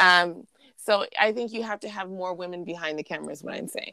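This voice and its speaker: A woman's fairly low-pitched voice, an ordinary speaking voice, with fairly even intonation and a fairly quick pace. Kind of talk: casual conversational podcast chat. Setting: video call, remote recording.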